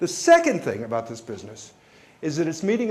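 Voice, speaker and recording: There is audible room echo as a man with a high pitch speaks with an American accent. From New York. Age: 60s. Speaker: company executive. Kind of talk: keynote speech. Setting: stage with audience.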